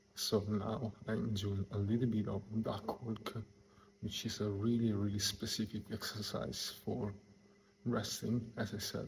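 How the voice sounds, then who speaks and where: Over noticeable background noise, a man with an Italian accent speaks fairly slowly in a fairly low, monotone, flat voice. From Italy. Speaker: deaf fitness enthusiast and wrestler. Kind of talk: soft-spoken workout advice to camera. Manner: soft-spoken, relaxed.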